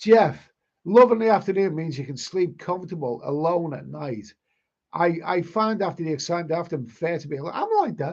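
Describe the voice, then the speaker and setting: A man with a Liverpool accent, high in pitch, at a fairly quick pace, with ordinary pitch variation and big swings in loudness. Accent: Liverpool (Scouse). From northern England, Liverpool. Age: 60s. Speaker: travel vlogger. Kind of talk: live stream chat reading. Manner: halting.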